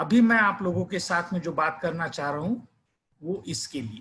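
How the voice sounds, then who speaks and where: On a very clean recording with a silent background, a man speaks with a Marathi accent at a high pitch. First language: Marathi (speaking Hindi). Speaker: educator. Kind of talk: lecture.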